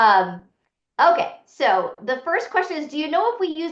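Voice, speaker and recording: A bright, sharp tone at a fairly quick pace. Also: woman. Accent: Boston. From Boston, US. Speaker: financial aid consultant. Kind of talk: webinar Q&A.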